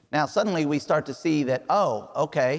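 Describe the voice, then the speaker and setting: Ordinary pitch variation accompanies speech in an American accent. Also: man. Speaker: missionary preacher. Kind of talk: sermon. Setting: church. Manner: halting, searching for words.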